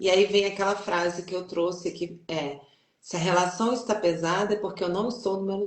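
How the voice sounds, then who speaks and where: The woman's pitch sits at a medium level. She keeps a moderate pace and fairly even intonation. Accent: strong Brazilian. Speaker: journalist and family constellation facilitator. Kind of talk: interview. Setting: online live stream.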